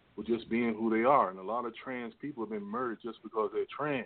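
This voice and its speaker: A man with an unremarkable speaking voice talks at a fairly quick pace, keeping a medium pitch and fairly even intonation. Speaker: caller. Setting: phone call.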